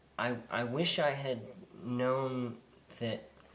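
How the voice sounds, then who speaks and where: The speaker is male. His voice carries an audible echo from the room. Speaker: parent with the condition. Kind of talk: interview. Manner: soft-spoken.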